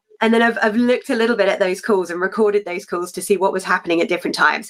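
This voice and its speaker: With a British accent, a woman speaks at a medium pitch and ordinary pitch variation. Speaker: talk show co-host. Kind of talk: live talk show discussion. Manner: loud.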